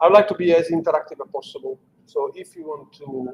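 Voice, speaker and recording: Light background noise sits behind a man speaking with an Italian accent. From Italy (Sicily, Catania); Sicily, Italy. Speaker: engineering executive; presenter. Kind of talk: lecture. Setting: live-streamed talk with audience. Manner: halting, many fillers. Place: meeting room.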